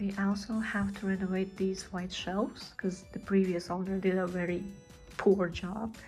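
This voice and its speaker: With music in the background, a woman with a non-native accent speaks at a moderate pace and medium pitch. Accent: non-native English speaker. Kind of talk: casual house tour talk to camera. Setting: home recording with sound issues.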